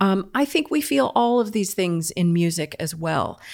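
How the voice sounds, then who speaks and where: A woman with an American accent has an unremarkable speaking voice at medium pitch, with lively intonation and a moderate pace. The recording is very clean, with a silent background. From United States. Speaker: fiddler and music teacher. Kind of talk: interview conversation.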